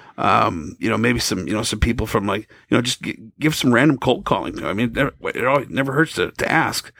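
A man with an American accent and vocal fry talks at a fairly quick pace and medium pitch, with lively intonation. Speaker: radio DJ. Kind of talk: casual chat.

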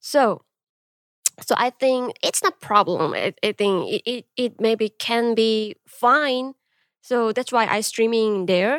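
Very slowly and with ordinary pitch variation, a woman with a Korean accent speaks at a fairly high pitch in a dry, close sound with no echo. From South Korea, Busan. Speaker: streamer and convenience store owner. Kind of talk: casual interview. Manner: halting.

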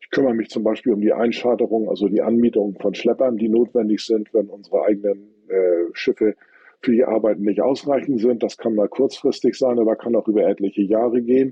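An ordinary speaking voice from a man, medium in pitch, with fairly even intonation and a fairly quick pace. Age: 50s. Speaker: tugboat company fleet manager. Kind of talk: interview.

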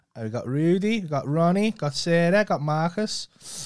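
This voice speaks with a Liverpool accent and ordinary pitch variation at a moderate pace. The recording is very clean, with a silent background. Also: man. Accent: Liverpool (Scouse). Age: 30s. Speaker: podcast co-host. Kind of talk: casual chat. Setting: studio.

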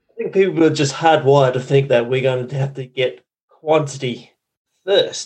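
A man speaks with an Australian accent at a fairly high pitch. His voice is somewhat breathy, at a moderate pace. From Western Australia. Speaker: marketing consultant and podcaster. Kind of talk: interview. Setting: remote call.

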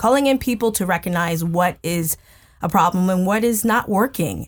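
A woman speaks at a moderate pace and a medium pitch. She has a plain, everyday voice. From United States. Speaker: chef. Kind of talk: interview. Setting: studio.

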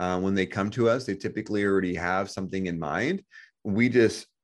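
Fairly quick male speech in a plain, everyday voice, fairly low in pitch with ordinary pitch variation, against a quiet background. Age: 30s. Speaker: financial education business owner. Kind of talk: interview. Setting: podcast interview.

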